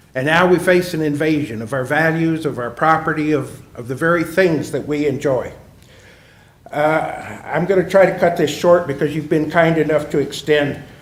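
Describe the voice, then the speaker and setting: A man with a fairly high voice and fairly even intonation at a moderate pace, with audible room echo and noticeable background noise. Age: 80s+. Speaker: retired businessman giving public comment. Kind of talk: public hearing comment. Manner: formal.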